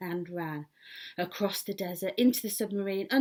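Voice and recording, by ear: Reading aloud is happening here. It is done in a natural voice.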